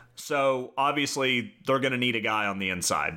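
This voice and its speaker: A man's bright, sharp tone comes through with vocal fry in a very clean recording against a silent background. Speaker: podcast host. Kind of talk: casual chat, storytelling. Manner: joking, humorous.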